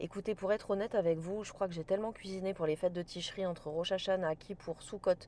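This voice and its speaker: Speaking at a fairly quick pace, a woman uses a medium pitch, a dark, mellow tone and fairly even intonation. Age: 40s. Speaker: cooking and lifestyle vlogger. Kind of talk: casual vlog talk to camera. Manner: casual, with frequent hesitations.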